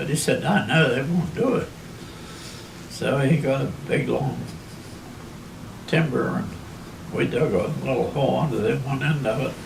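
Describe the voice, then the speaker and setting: A man speaks at a fairly slow pace with a western Pennsylvania accent. Noticeable background noise and audible room echo fill the recording. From Armstrong County, Pennsylvania. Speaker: oral history narrator. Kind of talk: oral history interview.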